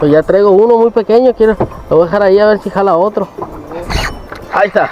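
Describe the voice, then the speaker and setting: Very fast speech over noticeable background noise. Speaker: fishing vlogger. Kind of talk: casual vlog narration.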